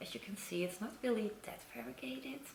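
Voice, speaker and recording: Audible room echo and noticeable background noise. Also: woman. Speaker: plant collector youtuber. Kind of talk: show and tell video.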